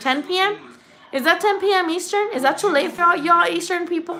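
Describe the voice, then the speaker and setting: A woman uses a raised, projected voice with a Spanish accent. Her intonation is lively. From Mexico, moved to US at eight. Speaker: boxing YouTuber. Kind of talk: casual live-stream chat. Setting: live stream. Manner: casual, swearing, animated.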